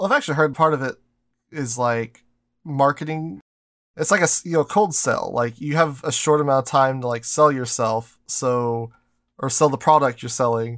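A normal speaking voice at a moderate pace, ordinary pitch variation, and a very clean recording with a silent background. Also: man, fairly high pitch for a man. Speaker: podcast co-host and anime YouTuber. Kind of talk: casual chat.

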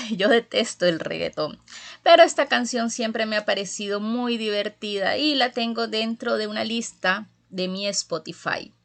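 A woman talks in a fairly high pitch at a fairly slow pace. The background is quiet. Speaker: radio host. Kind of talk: radio presenting; interview.

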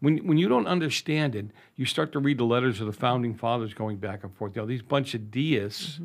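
In an unremarkable speaking voice, a man talks at a fairly quick pace with medium pitch and lively intonation over a very clean recording with a silent background. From Boston, Massachusetts (North End). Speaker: radio host and school board member. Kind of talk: interview.

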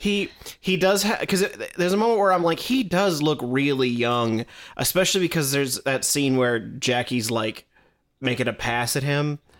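A normal speaking voice moves at a moderate pace with lively intonation and very even loudness, in a very clean recording with a silent background. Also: man, fairly high pitch for a man. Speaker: podcast co-host, Doctor Who expert. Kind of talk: casual chat, podcast banter.

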